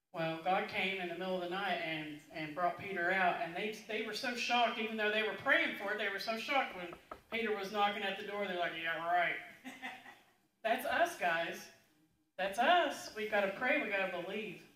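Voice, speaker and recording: A woman speaks at a moderate pace with lively intonation, and room echo can be heard. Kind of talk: announcements. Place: church.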